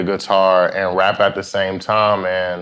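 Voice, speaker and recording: At a very slow pace, a man speaks with an American accent. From New York, Brooklyn (East New York). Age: 20s. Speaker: rapper and guitarist. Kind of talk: casual interview. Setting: studio with live audience.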